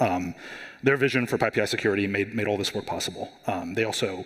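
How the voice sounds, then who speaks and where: A fairly low-pitched man at a very fast pace over noticeable background noise. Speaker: software security engineer, conference speaker. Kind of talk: conference talk. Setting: stage with audience. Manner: hesitant, many fillers.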